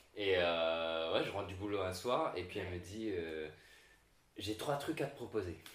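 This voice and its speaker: Amid noticeable background noise and audible room echo, a man with a very deep, low pitch speaks at a fairly slow pace. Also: ordinary pitch variation. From Réunion (La Chaloupe Saint-Leu area). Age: 20s. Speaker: content creator. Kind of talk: casual chat.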